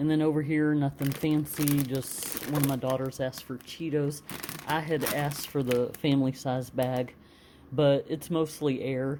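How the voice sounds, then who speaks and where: A woman speaks with a very deep, low pitch in a monotone, flat intonation. Noticeable background noise runs behind her. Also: moderate pace. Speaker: home cooking vlogger. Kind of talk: casual grocery haul vlog. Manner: casual with many fillers.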